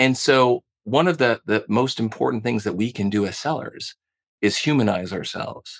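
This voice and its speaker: A man with a normal speaking voice, medium pitch, ordinary pitch variation and moderate pace, in a dry, close recording with no echo. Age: 40s. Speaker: sales trainer. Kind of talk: interview.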